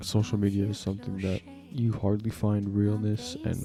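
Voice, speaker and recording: A man whispers at a moderate pace. Music plays behind him. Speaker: vlogger. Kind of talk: casual monologue vlog. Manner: whispering.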